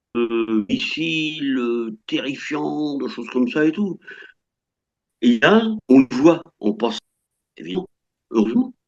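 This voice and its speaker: A man talks at a medium pitch with very wide swings in pitch, pausing long and often. His pace is very slow, and the sound is dry and close with no echo. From France. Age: 60s. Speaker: French retiree living abroad. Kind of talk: interview. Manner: halting, many hesitations.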